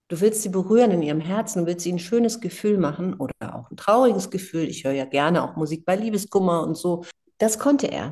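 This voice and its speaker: A woman's very fast speech, dark and mellow in tone, with lively intonation. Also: medium pitch for a woman. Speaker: singer. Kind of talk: interview. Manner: animated.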